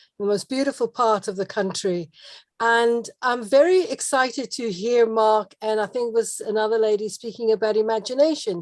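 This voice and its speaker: Against a quiet background, a woman talks at a moderate pace with a fairly high pitch. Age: 60s. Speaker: call participant. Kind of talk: personal anecdote on group call.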